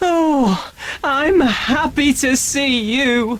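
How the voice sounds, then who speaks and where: A female-sounding voice performs a put-on character. She is high-pitched. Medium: read story.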